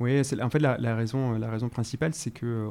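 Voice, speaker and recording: Speaking at a very fast pace, a man with a medium pitch and a dark, mellow tone keeps his intonation fairly even. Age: 30s. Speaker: startup co-founder. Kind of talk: podcast interview. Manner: hesitant, many fillers and repetitions.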